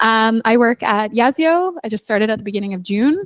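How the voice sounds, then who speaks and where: A woman with a Canadian accent and a plain, everyday voice, fairly high pitch, lively intonation, moderate pace, and a dry, close sound with no echo. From Canada. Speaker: product operations manager. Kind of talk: panel talk. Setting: stage with audience at meetup.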